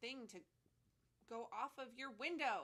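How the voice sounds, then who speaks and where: This woman's voice is loud. It has a bright, sharp tone. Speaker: podcast host. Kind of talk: casual chat.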